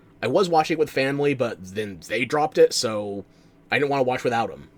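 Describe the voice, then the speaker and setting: A man with an American accent speaks at a very fast pace and a medium pitch. His intonation is lively, with vocal fry. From New Jersey, US. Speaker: streamer. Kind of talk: live-stream reaction commentary. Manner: casual, conversational.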